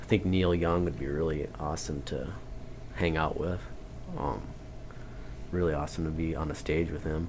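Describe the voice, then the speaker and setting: A man with a very deep, low voice talks at a moderate pace with ordinary pitch variation, long and frequent pauses, and audible room echo. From North Dakota, Turtle Mountain Chippewa Reservation. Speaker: blues musician. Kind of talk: casual chat. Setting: radio studio.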